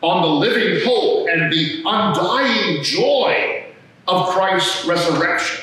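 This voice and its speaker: In a raised, projected voice with very wide pitch swings, a man speaks at a very slow pace amid strong room echo. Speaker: priest. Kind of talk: sermon. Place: church.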